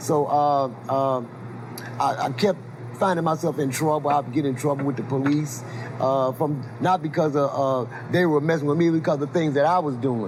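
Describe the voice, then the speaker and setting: Fairly high-pitched man's voice in an American accent, moderate in pace with fairly even intonation, over noticeable background noise. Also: very even loudness. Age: 60s. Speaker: blues musician. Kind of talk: interview. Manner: halting, repeats words.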